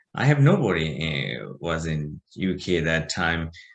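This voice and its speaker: A man speaks against a quiet background. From Bangladesh. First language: Bengali. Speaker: business owner. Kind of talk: interview. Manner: halting, many fillers.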